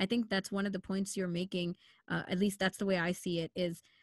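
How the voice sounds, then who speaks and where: A woman with a Canadian accent and medium pitch, in a dry, close sound with no echo. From Canada, Sri Lankan Tamil family. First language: Tamil. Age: 20s. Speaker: radio producer and host. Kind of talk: casual chat. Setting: video call.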